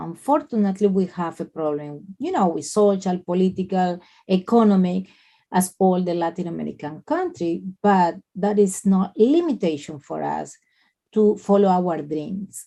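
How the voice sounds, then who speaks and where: Speaking with a Colombian accent, the voice has a dark, mellow tone and ordinary pitch variation. The pace is moderate, and the background is quiet. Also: woman, medium pitch for a woman. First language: Spanish. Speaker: nurse and spa owner. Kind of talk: interview. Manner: halting.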